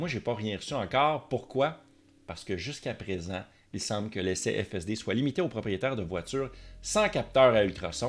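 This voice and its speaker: A man with a Quebec accent, animated in tone, with lively intonation, on a very clean recording with a silent background. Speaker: tech and car YouTuber. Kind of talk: casual video commentary.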